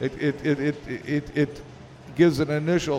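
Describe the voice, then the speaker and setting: Amid noticeable background noise, a man speaks at a fairly high pitch and moderate pace with fairly even intonation. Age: 70s. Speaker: pinball industry executive. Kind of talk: interview. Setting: live at a convention with audience.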